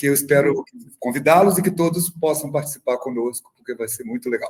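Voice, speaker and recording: Somewhat breathy, a man speaks at a fairly quick pace. His pitch is fairly high with ordinary variation. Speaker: film club activist. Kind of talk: online talk. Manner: talkative.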